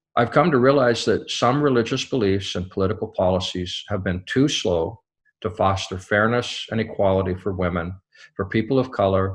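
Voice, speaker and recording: With an American accent, a man speaks at a moderate pace in a fairly low pitch with ordinary pitch variation and a somewhat breathy quality, on a very clean recording with a silent background. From US, small town. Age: 60s. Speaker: company CEO. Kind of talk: scripted address. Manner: formal.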